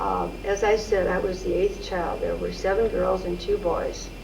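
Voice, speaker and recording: A woman with an American accent at a fairly slow pace, amid audible room echo and noticeable background noise. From Missouri, St. Louis. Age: 70s. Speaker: oral history interviewee. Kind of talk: oral history interview.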